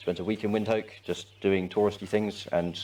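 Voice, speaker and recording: Over noticeable background noise, a man with an English accent speaks at a moderate pace in a monotone, flat intonation. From England, West Midlands. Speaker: volunteer, army reservist. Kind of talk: interview. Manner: hesitant, many fillers.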